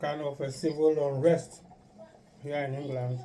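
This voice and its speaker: Fairly high, monotone and flat male voice amid audible room echo and noticeable background noise. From Nigeria, Igbo. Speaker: YouTube couple vlogger. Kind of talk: casual chat. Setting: kitchen.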